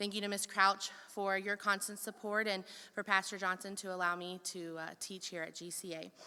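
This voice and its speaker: This woman's tone is bright and sharp, with monotone, flat intonation. Her loudness swings widely. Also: medium pitch for a woman, moderate pace. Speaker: first grade teacher. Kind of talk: speech at awards ceremony.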